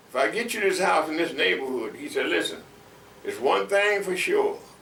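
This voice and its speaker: A man speaks at moderate speed, with audible room echo and noticeable background noise around him. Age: 80s+. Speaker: longtime neighborhood resident. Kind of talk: oral history interview. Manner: halting, many fillers and repetitions.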